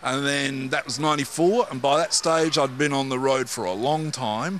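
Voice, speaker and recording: A man's fairly high voice with ordinary pitch variation and a moderate pace, over noticeable background noise. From Manchester, England; moved to Perth at 13. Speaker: musician. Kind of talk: casual interview. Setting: music venue.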